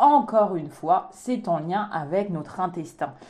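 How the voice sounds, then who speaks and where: A woman speaks with a non-native accent. Her pitch is medium and her pace moderate. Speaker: naturopath podcast co-host. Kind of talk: casual chat.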